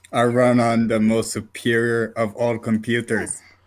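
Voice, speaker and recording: A man uses a put-on character voice at medium pitch and moderate pace. His intonation stays monotone and flat in a very clean recording with a silent background. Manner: stiff, haughty, mechanical.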